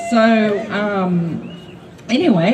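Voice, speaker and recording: The speaker has an Australian accent and ordinary pitch variation. Noticeable background noise and audible room echo fill the recording. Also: woman. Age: 60s. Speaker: public housing tenant, rally speaker. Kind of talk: rally speech. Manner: halting, many fillers.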